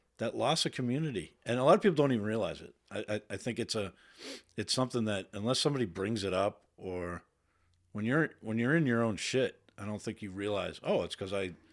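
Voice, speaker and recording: In an American accent, a man talks at a fairly quick pace with lively intonation. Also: medium pitch for a man. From Boston area, Massachusetts. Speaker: Navy veteran. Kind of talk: casual interview chat. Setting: studio. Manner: halting, repeats words.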